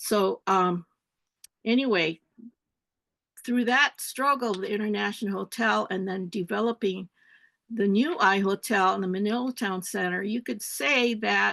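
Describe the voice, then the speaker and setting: A woman with a bright, sharp tone talks at a fairly slow pace with long, frequent pauses, the sound dry and close with no echo against a quiet background. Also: medium pitch for a woman, ordinary pitch variation. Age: 70s. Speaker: retired professor and community activist. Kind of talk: panel talk on webinar. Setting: webinar.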